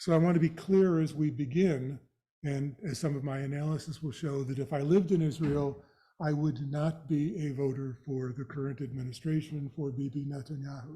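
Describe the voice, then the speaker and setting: Somewhat breathy and dark, mellow in tone, a man's fairly high voice moves at a moderate pace with fairly even intonation. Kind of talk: lecture.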